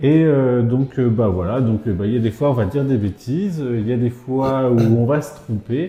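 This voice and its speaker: With hardly any pauses, a man speaks at a moderate pace and medium pitch, with ordinary pitch variation. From Brittany, France. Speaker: vlogger. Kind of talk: casual chat. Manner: hesitant, many fillers.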